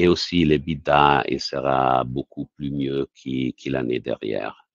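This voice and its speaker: A man's very deep, low voice at a fairly slow pace, fairly even in intonation, with a dry, close sound and no echo. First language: Italian (speaking French). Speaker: company CEO. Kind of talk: investor Q&A. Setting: webinar. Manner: halting.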